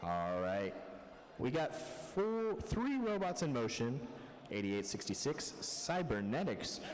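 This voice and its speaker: At a fairly slow pace, the speaker's pitch swings very widely while loudness stays very even, with noticeable background noise and audible room echo. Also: man. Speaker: robotics match announcer. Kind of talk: live commentary. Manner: soft-spoken.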